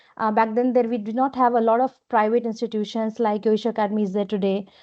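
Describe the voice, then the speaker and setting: In an Indian accent, a woman talks at a fairly high pitch with monotone, flat intonation. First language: Hindi. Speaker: business executive. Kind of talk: interview.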